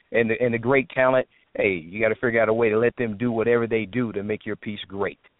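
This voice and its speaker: A man with an unremarkable speaking voice talks at a fairly quick pace. His pitch is medium and his intonation fairly even. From Indianapolis, Indiana; military family. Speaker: actor, writer and director. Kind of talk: casual chat.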